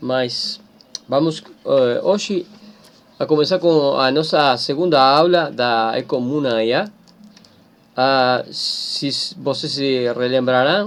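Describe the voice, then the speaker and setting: Here a man with a Spanish accent talks very slowly, leaving long, frequent pauses. His voice is fairly high-pitched with ordinary pitch variation. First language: Spanish (speaking Portuguese). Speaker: teacher. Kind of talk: lecture. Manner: halting.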